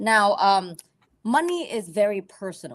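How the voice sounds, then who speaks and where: Speaking in a Vietnamese accent, a woman talks at a fairly slow pace with lively intonation. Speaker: financial advisor. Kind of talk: educational presentation. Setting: livestream video call. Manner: conversational, teacher-like.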